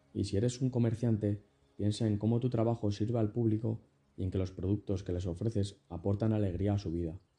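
A man speaks at a fairly low pitch with fairly even intonation. His tone is dark and mellow, and somewhat breathy. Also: fairly quick pace. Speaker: podcaster reading a self-help book aloud. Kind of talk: reading aloud. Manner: non-native English pronunciation.

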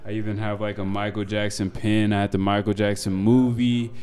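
A man with an American accent, fairly low pitch and monotone, flat delivery over noticeable background noise. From Denver, Colorado, US. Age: 20s. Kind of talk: casual interview conversation. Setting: in a wine bar.

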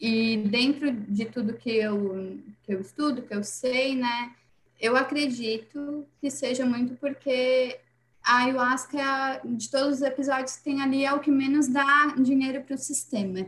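Speaking fairly slowly, a woman keeps her high voice in a fairly even intonation. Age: 20s. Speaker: holistic therapist. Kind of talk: casual chat.

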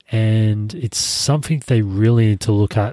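Music plays in the background as a man speaks with ordinary pitch variation, his voice dry and close with no echo. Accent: Australian. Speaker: podcast host. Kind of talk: solo podcast monologue. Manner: casual, many fillers.

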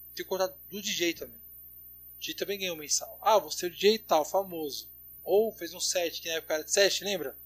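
The pitch varies in an ordinary way and the pace is fairly quick. Loudness swings widely. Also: man, high pitch for a man. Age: 20s. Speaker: DJ. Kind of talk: casual chat.

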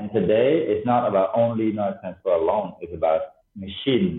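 A man with a Cambodian accent at a moderate pace. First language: Khmer. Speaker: tech entrepreneur. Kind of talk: interview. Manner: halting, many fillers.

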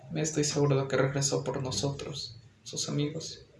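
Fairly high-pitched male voice, monotone and flat, with audible room echo and noticeable background noise. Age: young. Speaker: podcast co-host and student. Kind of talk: casual chat.

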